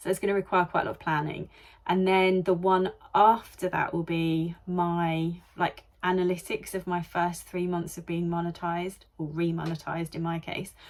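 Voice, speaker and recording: A woman with a British accent and a fairly low pitch speaks at a moderate pace with monotone, flat intonation. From UK. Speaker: vlogger and online seller. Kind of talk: casual vlog talk to camera.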